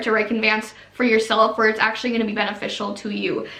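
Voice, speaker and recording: Over noticeable background noise and audible room echo, a woman speaks very fast in an animated tone. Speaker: YouTuber, former MLM coach. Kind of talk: casual vlog monologue.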